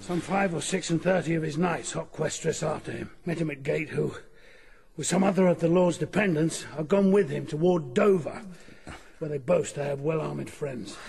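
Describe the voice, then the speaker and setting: Over clear background noise, a man does a raspy, put-on character voice, fairly high in pitch and at a moderate pace. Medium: audio drama.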